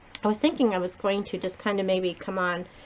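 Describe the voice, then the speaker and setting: With an American accent and fairly even intonation, a woman talks at a fairly quick pace over noticeable background noise. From Massachusetts, between Providence and Boston. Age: 60s. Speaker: beauty vlogger. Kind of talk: casual chat. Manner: casual, rambling with fillers.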